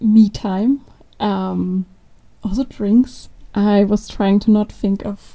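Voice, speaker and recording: A woman's somewhat breathy medium-pitched voice, dark and mellow in tone, with fairly even intonation. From Austria. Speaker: product manager. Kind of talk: casual interview.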